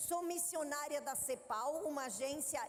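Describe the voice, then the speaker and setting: A woman in a southern Brazilian accent, with audible room echo. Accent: gaúcho (southern Brazilian). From southern Brazil (Rio Grande do Sul, Três de Maio). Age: 50s. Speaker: missionary and women's ministry leader. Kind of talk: sermon. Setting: stage with audience at a women's congress.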